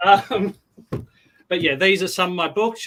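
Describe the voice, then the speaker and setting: A man speaks with an Australian accent. His tone is bright and sharp. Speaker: novelist. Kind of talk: casual chat.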